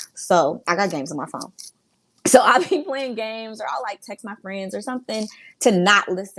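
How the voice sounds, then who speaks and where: Her intonation lively, a woman at a medium pitch talks at a moderate pace with big swings in loudness. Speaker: podcast guest. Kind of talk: casual chat.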